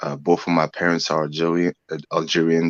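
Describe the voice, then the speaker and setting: A man speaks in a very deep, low, monotone voice. The sound is dry and close, with no echo. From France. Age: 30s. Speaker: guest. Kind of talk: casual chat. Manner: halting.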